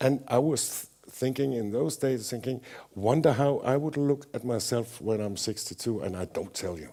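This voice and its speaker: Talking at a moderate pace, a man with a medium pitch and a dark, mellow tone shows ordinary pitch variation and big swings in loudness. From Denmark. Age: 60s. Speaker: painter. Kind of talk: public artist talk. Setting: gallery with audience. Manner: halting, many fillers.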